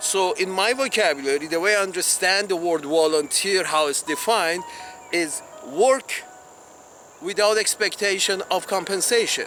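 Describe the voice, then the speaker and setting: Over music in the background, a man with a high pitch uses a raised, projected voice at a very even loudness. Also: ordinary pitch variation, moderate pace. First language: not English. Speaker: video blogger. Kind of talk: open letter monologue. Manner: halting, many restarts.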